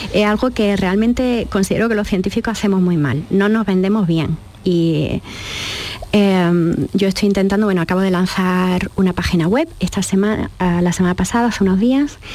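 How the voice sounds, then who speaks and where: A woman speaks at a moderate pace with very even loudness over noticeable background noise. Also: medium pitch for a woman, ordinary pitch variation. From Andalusia, Jaén. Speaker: biochemist and consultant. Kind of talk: radio interview. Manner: halting, many fillers.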